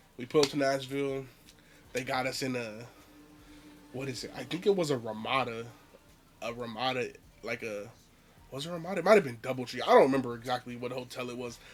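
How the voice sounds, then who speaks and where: Music plays behind a man who speaks very fast. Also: medium pitch for a man, ordinary pitch variation. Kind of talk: casual story time to camera. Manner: casual, conversational.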